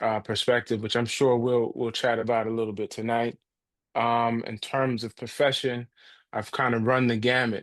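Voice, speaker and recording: A man with an American accent, medium pitch, monotone, flat intonation and a moderate pace against a quiet background. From New Jersey, US (tri-state area). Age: 40s. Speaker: nonprofit and higher education leader. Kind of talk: podcast interview. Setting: podcast recording.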